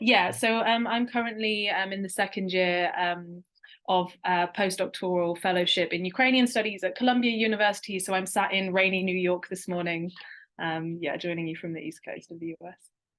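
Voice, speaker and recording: With a British accent and big swings in loudness, a woman talks at a fairly quick pace against a quiet background. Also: medium pitch for a woman, ordinary pitch variation. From eastern England, rural. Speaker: postdoctoral researcher. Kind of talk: webinar interview.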